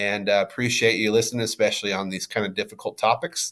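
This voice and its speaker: Medium pitch from a male speaker, captured very cleanly against total silence. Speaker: middle school teacher or administrator. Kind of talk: recorded class video talk. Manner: halting, many fillers.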